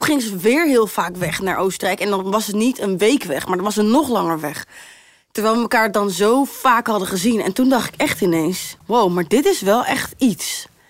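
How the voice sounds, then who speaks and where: At a moderate pace, a woman with a fairly high pitch and lively intonation talks in an ordinary speaking voice. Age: 20s. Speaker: singer. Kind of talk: casual chat.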